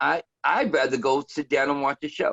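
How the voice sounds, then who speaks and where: Moderate pace from a male speaker. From New York, the Bronx. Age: 60s. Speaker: DJ. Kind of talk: interview. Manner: hesitant, many fillers.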